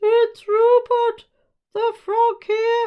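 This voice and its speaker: A put-on character voice, squeaky and extremely high, holds a flat, monotone intonation. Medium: read story.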